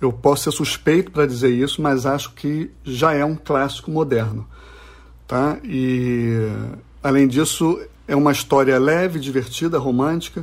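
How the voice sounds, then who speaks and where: Speaking fairly slowly, a man uses a fairly high pitch and fairly even intonation. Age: 40s. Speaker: comics publisher. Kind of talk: interview. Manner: halting.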